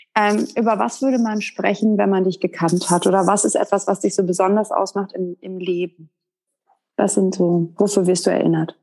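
Dark and mellow in tone, a woman's medium-pitched voice moves at a moderate pace with fairly even intonation. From northern Germany (Westerkappeln). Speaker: podcast host. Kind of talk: interview.

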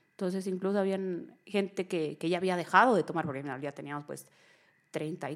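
A woman talks at a fairly quick pace with ordinary pitch variation. The recording is very clean, with a silent background. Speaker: holistic therapist and emotional coach. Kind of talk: interview testimony.

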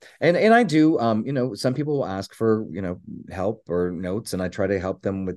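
A man's intonation is lively and his delivery rather brisk. Little sound is heard behind him. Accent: American. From US Midwest, Northern Kentucky. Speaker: performer and talent agent. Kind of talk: casual chat. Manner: animated.

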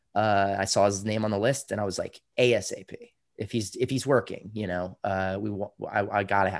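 In a very clean recording with a silent background, a man with an American accent and a normal speaking voice talks at a fairly quick pace with hardly any pauses, fairly even intonation and a fairly low pitch. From Austin, Texas. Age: 30s. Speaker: comedian and comedy club owner. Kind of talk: interview.

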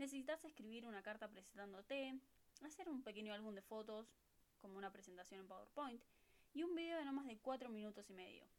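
With a Rioplatense accent, a woman talks at a fairly quick pace in a fairly high pitch with lively intonation. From Buenos Aires, Argentina. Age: 20s. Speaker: au pair podcast host. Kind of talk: casual monologue.

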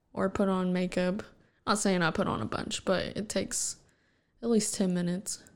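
A woman's plain, everyday voice at medium pitch, with fairly even intonation, on a very clean recording with a silent background. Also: moderate pace. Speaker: host's fiancée. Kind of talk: casual chat. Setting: home recording with headphones. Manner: giggly, laughs often.

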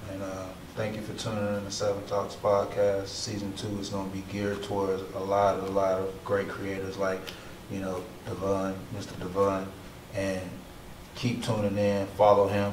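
At fairly low pitch, a man speaks in a monotone, flat way at a moderate pace. Audible room echo and noticeable background noise come through. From Mobile, Alabama. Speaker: podcast host. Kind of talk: interview.

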